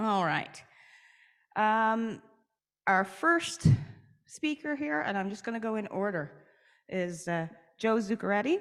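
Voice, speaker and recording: A woman with a Newfoundland accent, medium pitch and very wide pitch swings, speaking at a fairly slow pace with long, frequent pauses. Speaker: session moderator. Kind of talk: event moderation, introducing speakers. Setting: stage at a conference, with microphones.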